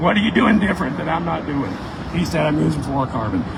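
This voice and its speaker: A man talks at a very fast pace and a fairly high pitch, with very wide pitch swings. Noticeable background noise and an audible room echo are present. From Tennessee. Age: 60s. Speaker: fishing guide and author. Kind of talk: casual Q&A talk at a store event.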